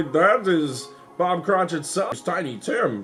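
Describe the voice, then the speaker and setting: Using a put-on character voice, a man speaks with a high pitch. His pace is fairly slow. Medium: solo performance.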